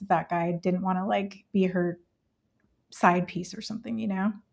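A woman with an American accent, medium pitch, somewhat breathy, monotone and flat in intonation, at a moderate pace. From California. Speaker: homeschooling mom. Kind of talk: casual chat.

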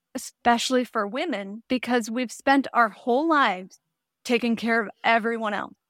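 In an ordinary speaking voice, a woman talks at a moderate pace. Her fairly high pitch varies in an ordinary way. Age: 40s. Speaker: midlife mindset coach. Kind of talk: interview.

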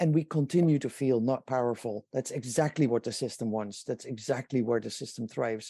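A man with a Dutch accent, medium pitch, ordinary pitch variation, dark and mellow tone, fairly quick pace with hardly any pauses, dry and close sound with no echo. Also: quiet background. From Netherlands. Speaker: inventor and company founder. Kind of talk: interview.

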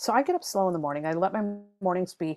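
A woman speaks in an unremarkable speaking voice at a medium pitch. Her intonation is lively. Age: 50s. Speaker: tarot reader and author. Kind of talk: casual interview chat. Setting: video call.

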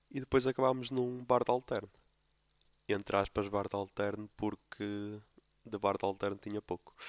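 The recording is dry and close with no echo, as a man talks at a moderate pace with long, frequent pauses. His pitch is fairly low and his intonation fairly even. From Portugal, Póvoa de Lanhoso (Minho). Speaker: podcast host. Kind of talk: casual solo monologue.

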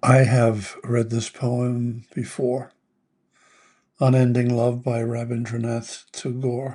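A man's somewhat breathy, medium-pitched voice, monotone and flat, at a very slow pace. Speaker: meditation podcast host reading a poem. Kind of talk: poem reading, gentle guided meditation tone. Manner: slow, tender and contemplative; heartfelt, with soft pauses.

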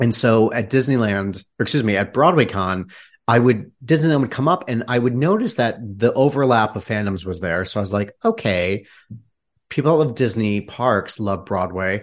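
A man with an American accent and an unremarkable speaking voice talks at medium pitch and a moderate pace. His pitch variation is ordinary, over a quiet background. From Michigan. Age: 30s. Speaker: theater director. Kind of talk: casual chat.

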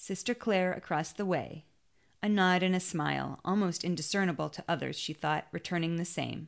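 A woman speaks in an ordinary speaking voice at a fairly low pitch. Her pace is moderate and her intonation fairly even, over a quiet background. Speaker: audiobook reader. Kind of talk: literary audiobook reading of a short story.

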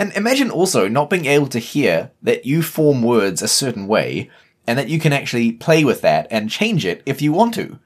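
The voice has vocal fry and very wide pitch swings, in a New Zealand accent. The recording is very clean, with a silent background. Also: man, fairly high pitch for a man, moderate pace. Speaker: podcast co-host. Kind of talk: casual chat.

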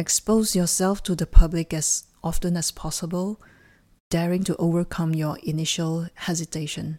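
Monotone, flat intonation comes with a calm, soothing tone in a dry, close sound with no echo. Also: woman, fairly low pitch for a woman. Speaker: life coach and sophrologist guiding a meditation. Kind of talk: guided meditation. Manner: slow, calm, soothing; gentle, evenly paced, instructional.

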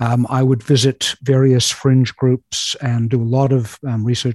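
A man with a New Zealand accent speaks in a medium-pitched, somewhat breathy voice with a dark, mellow tone. His intonation is fairly even, and the sound is dry and close with no echo. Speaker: writer. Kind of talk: casual chat.

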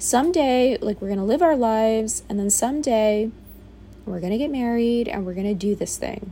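A woman with a fairly high pitch and a dark, mellow tone talks at a moderate pace, sounding somewhat breathy. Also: ordinary pitch variation. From US, Bronx, New York. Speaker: podcaster. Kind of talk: personal monologue. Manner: casual, conversational.

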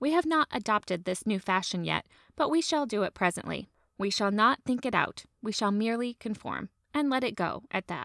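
A woman with a fairly high pitch and an unremarkable speaking voice talks at a moderate pace with lively intonation, recorded dry and close with no echo on a very clean recording with a silent background. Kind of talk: reading aloud a 1900s literary essay. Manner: measured, formal, storytelling cadence.

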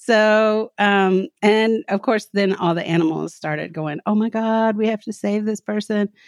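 Her medium-pitched voice, with a Southern US accent, moves at a fairly slow pace with hardly any pauses. The woman's pitch varies in an ordinary way, and the sound is dry and close with no echo. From US South, Kentucky. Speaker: professor and writer. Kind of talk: personal testimony in interview. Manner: halting, many fillers.

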